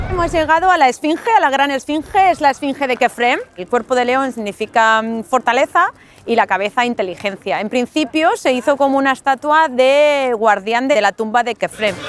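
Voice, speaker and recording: A woman with a high pitch talks at a moderate pace with hardly any pauses and lively intonation. The sound is dry and close with no echo, though there is noticeable background noise. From Spain, Getafe (Madrid). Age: 40s. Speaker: Spanish expat tour guide. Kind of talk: casual tour narration.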